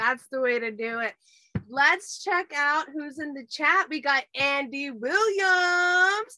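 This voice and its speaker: With a raised, projected voice that is high, bright and sharp, a woman speaks at a very slow pace, her intonation lively and her loudness swinging widely. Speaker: podcast host. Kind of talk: casual chat. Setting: video call. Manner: excitable.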